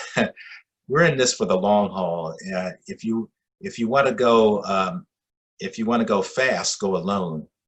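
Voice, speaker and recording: The speaker talks fairly slowly with lively intonation as music plays in the background. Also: man, medium pitch for a man. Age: 60s. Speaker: bishop. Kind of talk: interview. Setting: video call.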